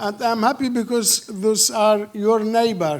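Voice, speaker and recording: At a fairly slow pace, a man with a non-native accent speaks in a high voice. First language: not English. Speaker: film director. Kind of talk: Q&A interview. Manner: halting.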